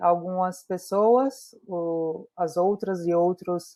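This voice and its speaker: A woman with a northeastern Brazilian accent speaks at a very slow pace with fairly even intonation. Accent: northeastern Brazilian Portuguese, noticeable. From Brazil, Natal, Rio Grande do Norte. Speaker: entrepreneur and community mentor. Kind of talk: virtual community meetup talk.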